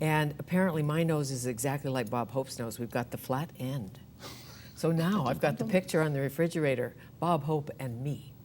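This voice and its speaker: With ordinary pitch variation, a woman talks at a moderate pace in a very deep, low pitch. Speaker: talk show host. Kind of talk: talk show interview.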